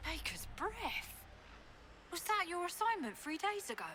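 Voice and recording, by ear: A woman's put-on character voice, extremely high and bright, sharp in tone, with big pitch swings at a fairly slow pace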